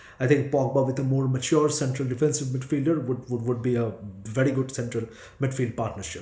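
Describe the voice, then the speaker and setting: Speaking fairly quickly in a monotone, flat intonation, a man at medium pitch is heard with audible room echo. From India. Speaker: football fan reactor. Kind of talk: fan reaction video. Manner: halting, many fillers and repeats.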